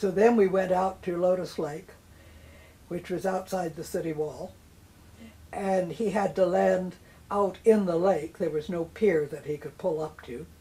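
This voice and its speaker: A woman in an American accent, dark and mellow in tone and somewhat breathy, at a fairly slow pace with fairly even intonation and long, frequent pauses. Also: medium pitch for a woman. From northern China, later Washington DC. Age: 90s. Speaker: eyewitness to history. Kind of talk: oral history interview.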